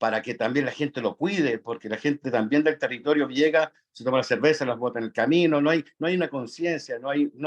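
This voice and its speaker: Speaking with a Chilean accent, a man uses a fairly high pitch and lively intonation at a fairly quick pace. The sound is dry and close, with no echo. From Chile, Atacama region. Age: 60s. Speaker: national park concessionaire, audience participant. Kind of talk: audience comment in online forum. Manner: halting, many fillers.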